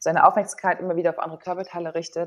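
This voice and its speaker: A woman speaks at a very fast pace in a fairly low pitch. Her intonation stays monotone and flat. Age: 30s. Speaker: former volleyball player, sports psychologist and yoga teacher. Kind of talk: casual interview.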